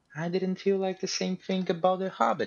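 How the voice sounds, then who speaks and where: A man talks with a Portuguese accent. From Brazil. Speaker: lab researcher. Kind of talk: casual chat.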